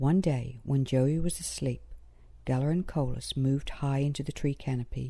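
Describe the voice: With ordinary pitch variation, someone does plain reading aloud.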